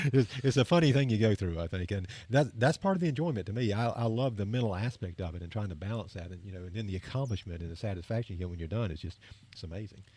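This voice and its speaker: A man at a very fast pace, fairly low in pitch, with a dark, mellow tone, somewhat breathy, lively intonation and big swings in loudness, on a very clean recording with a silent background. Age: 50s. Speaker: running podcast co-host. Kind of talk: casual chat. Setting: studio.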